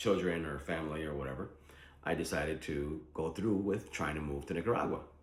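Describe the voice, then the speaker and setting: There is audible room echo as a man with a very deep, low pitch talks at a fairly quick pace with ordinary pitch variation. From Philadelphia, US (Puerto Rican born). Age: 40s. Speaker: vlogger planning to move abroad. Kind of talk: casual vlog monologue. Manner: conversational with frequent fillers.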